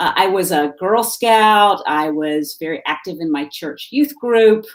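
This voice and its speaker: A Southern US accent with lively intonation at a fairly slow pace. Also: woman, medium pitch for a woman. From US South, Salisbury, North Carolina. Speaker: activist. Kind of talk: interview. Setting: live video stream. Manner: halting, many fillers.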